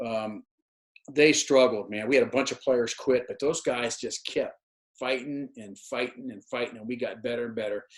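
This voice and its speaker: Big swings in loudness mark a man's speech at medium pitch. He keeps a moderate pace and fairly even intonation. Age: 60s. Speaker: retired college football coach. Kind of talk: interview. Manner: halting, many repeated words.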